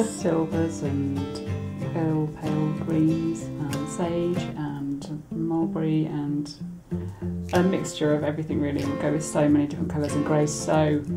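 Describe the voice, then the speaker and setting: Over loud music in the background, the speech comes at a fairly slow pace. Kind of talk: casual product demonstration. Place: studio.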